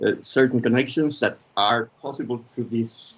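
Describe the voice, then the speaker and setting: A man with a medium-pitched voice, fairly even intonation, and a Spanish accent. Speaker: filmmaker and media practitioner. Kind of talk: conference talk. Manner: halting.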